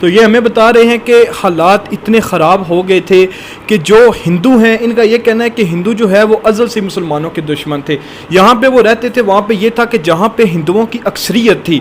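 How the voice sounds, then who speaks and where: There is noticeable background noise behind this voice. A man speaks at a high pitch. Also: ordinary pitch variation. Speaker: news channel host. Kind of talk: news-style report to camera.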